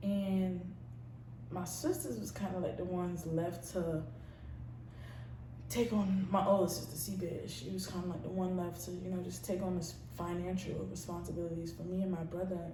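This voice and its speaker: A woman with a Brooklyn accent speaks at a moderate pace amid audible room echo and noticeable background noise. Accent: New York, Brooklyn. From New York City, Brooklyn. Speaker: YouTuber, college student. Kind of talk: personal testimony vlog. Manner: casual, slangy; halting with fillers.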